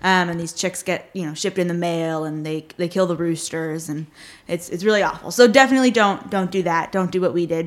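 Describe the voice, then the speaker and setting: A woman's ordinary speaking voice, fairly low in pitch, at a fairly quick pace. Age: young. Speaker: animal sanctuary founder. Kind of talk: casual chat.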